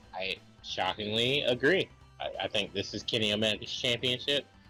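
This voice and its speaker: A man's fairly low voice over music in the background. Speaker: amateur wrestling commentator. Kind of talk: wrestling commentary predictions.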